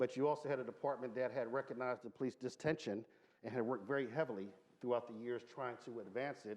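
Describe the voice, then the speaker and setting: A man with an American accent talks at a very fast pace, at medium pitch with fairly even intonation. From Philadelphia, US. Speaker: former police chief. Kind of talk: panel discussion.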